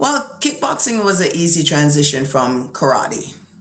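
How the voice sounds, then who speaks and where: Audible room echo surrounds a woman with a very deep, low pitch. She talks at a fairly slow pace. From Jamaica, moved to Brooklyn at eleven. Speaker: retired boxer. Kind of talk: interview.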